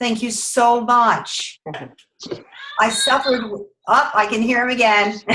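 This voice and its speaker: Pausing long and often, a woman speaks fairly slowly at a fairly high pitch with monotone, flat intonation. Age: 50s. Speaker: network marketing representative. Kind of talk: testimony. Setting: video call.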